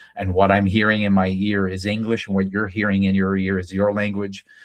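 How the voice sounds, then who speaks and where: A fairly low-pitched man with a Franco-Ontarian accent and monotone, flat intonation. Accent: Franco-Ontarian Canadian English. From Northern Ontario, Canada (French-speaking community). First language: French. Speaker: day trading educator. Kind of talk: live trading stream with group chat. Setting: live video session with screen sharing. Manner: hesitant, many fillers.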